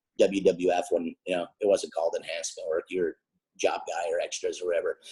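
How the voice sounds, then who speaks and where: A man with an Upper Michigan accent speaks at a fairly quick pace. The sound is dry and close with no echo. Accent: Yooper accent (Upper Peninsula Michigan). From Upper Peninsula of Michigan (Ishpeming). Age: 50s. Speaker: wrestling manager. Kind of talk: interview. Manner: talkative.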